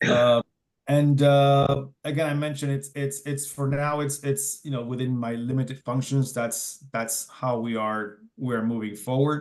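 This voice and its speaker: With a Spanish accent, a man speaks at a fairly slow pace, his fairly high voice keeping a fairly even intonation. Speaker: city emergency manager. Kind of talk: presentation at community meeting. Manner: halting, many repetitions and fillers.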